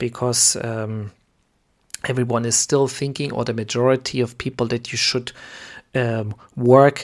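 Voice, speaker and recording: The pace here is fairly slow. It's delivered in a German accent. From Germany. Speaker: podcast host, preacher. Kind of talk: sermon-style teaching. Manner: halting, many fillers.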